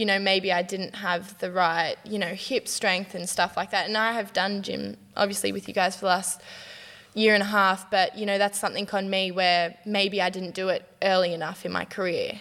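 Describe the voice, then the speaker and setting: At a moderate pace, a woman with an Australian accent speaks at a medium pitch in a bright, sharp tone with monotone, flat intonation. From Newcastle, Australia. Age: 20s. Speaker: professional basketballer. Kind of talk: casual interview.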